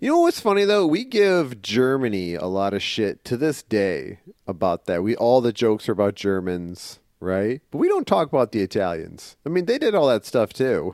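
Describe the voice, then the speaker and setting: A man with a Midwestern accent at a medium pitch, very wide pitch swings, moderate pace and hardly any pauses, in a very clean, silent recording with a dry, close sound and no echo. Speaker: comic book podcast co-host. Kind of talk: casual comedic chat.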